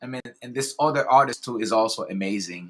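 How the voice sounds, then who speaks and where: In a normal speaking voice, a man talks with medium pitch and ordinary pitch variation. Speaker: interview host. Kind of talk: live interview questions.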